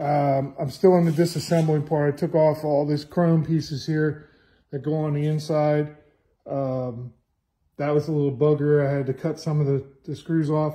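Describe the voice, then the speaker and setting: Against a quiet background, a man with a fairly high pitch and a dark, mellow tone sounds somewhat breathy, speaking at a moderate pace with monotone, flat intonation. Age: 50s. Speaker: car restorer. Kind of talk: walkthrough video tutorial. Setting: home workshop. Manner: casual, with many fillers. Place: garage. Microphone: phone near.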